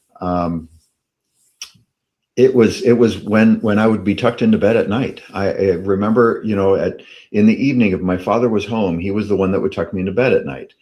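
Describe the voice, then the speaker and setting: A man talks at a fairly quick pace with fairly even intonation, his pitch fairly low and his tone dark and mellow. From Canada. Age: 60s. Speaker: personal development speaker. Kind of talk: interview storytelling. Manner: halting with repetitions.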